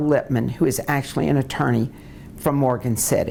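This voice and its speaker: Vocal fry from a woman with an American accent, at a moderate pace. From US South, New Orleans, Louisiana. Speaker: lawyer. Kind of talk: oral history interview.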